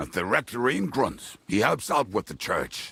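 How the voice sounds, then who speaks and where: This man puts on a growling character voice at a medium pitch. He keeps a moderate pace. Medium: video game. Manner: blunt, coarse.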